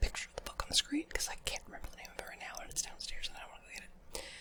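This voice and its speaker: Noticeable background noise accompanies someone whispering. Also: woman. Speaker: ASMR creator. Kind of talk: casual talk to camera. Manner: soft-spoken.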